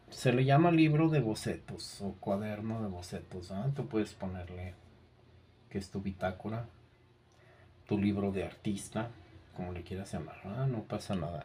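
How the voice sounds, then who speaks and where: A man's somewhat breathy voice, fairly low in pitch with a dark, mellow tone, at a fairly slow pace with ordinary pitch variation and audible room echo. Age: 60s. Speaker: art teacher. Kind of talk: lecture. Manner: halting.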